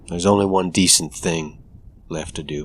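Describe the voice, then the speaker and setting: Using a put-on character voice, a man sounds gruff at a very deep, low pitch. His intonation is fairly even and his pace moderate. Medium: audio drama.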